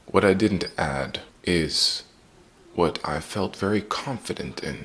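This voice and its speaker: Speaking very slowly in a German accent, a man uses a very deep, low pitch with vocal fry and ordinary pitch variation. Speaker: acting student and vlogger. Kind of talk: personal vlog.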